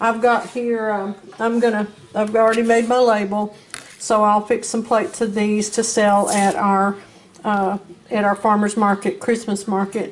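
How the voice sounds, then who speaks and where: With a Southern US accent, a woman speaks in a fairly high, flat monotone at a moderate pace. Light background noise can be heard. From US South. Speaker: home cooking video host. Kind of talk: cooking tutorial. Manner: casual with many fillers and hesitations. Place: kitchen. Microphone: camera far.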